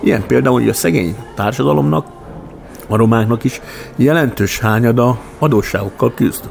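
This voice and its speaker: Lively in intonation, a man talks at medium pitch and a moderate pace with long, frequent pauses. His loudness stays very even over noticeable background noise. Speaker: educator and former mayor. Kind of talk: interview.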